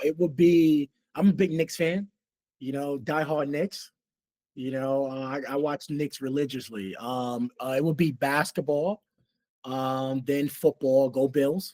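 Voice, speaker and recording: In a New York accent, a man speaks at a fairly slow pace with a fairly high pitch and ordinary pitch variation, the sound dry and close with no echo. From New York City (Queens, Harlem). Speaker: rugby coach. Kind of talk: casual interview. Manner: halting, many fillers.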